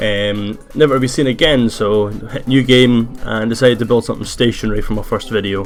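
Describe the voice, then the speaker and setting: A man with a Scottish accent talks at a fairly quick pace with fairly even intonation, against noticeable background noise. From Scotland. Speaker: gaming youtuber. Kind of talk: gameplay commentary. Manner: hesitant, many fillers.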